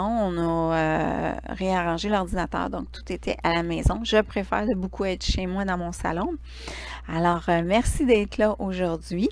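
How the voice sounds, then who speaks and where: With a Quebec accent, a woman talks at a fairly slow pace. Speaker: Reiki teacher and live stream host. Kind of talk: casual live stream chat. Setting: livestream from home living room.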